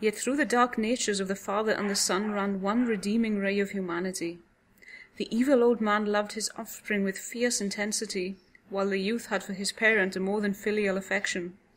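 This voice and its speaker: A soft-spoken woman talks in a Welsh accent at a medium pitch. She goes at a fairly quick pace with a monotone, flat intonation. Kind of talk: audiobook horror story reading. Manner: soft, easy listening.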